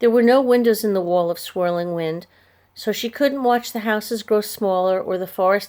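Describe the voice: A plain reading aloud with ordinary pitch variation.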